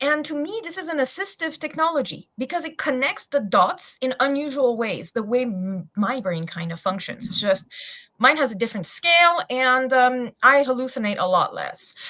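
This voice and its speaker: A woman's raised, projected voice in a French accent, high-pitched with very wide pitch swings, big swings in loudness, a bright, sharp tone, a moderate pace and hardly any pauses. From France. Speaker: SEO specialist. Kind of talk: webinar panel introduction.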